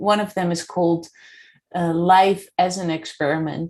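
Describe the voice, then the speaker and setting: A woman with a Dutch accent speaks at a moderate pace, her medium pitch carried on fairly even intonation. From Netherlands. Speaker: podcast host and coach. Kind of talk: interview.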